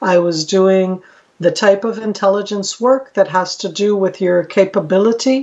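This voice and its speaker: Here a woman speaks with an American accent at a medium pitch. Her pace is moderate and her intonation fairly even. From Israel, American parents. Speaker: retired military intelligence officer. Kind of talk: podcast interview. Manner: occasional hesitations (um).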